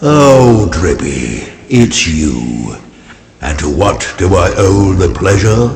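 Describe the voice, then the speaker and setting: In a put-on character voice, a man with a very deep, low pitch talks at a very slow pace with very wide pitch swings. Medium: video game. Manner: slow, dignified, sage-like.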